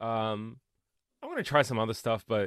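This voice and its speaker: A man speaks with an Australian accent. The sound is dry and close with no echo, over a quiet background. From Australia, Melbourne. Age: 30s. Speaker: comedian. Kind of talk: casual chat.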